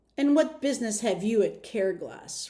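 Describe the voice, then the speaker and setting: A woman's growling put-on character voice, high in pitch, at a moderate pace. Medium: read story. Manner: roaring, commanding.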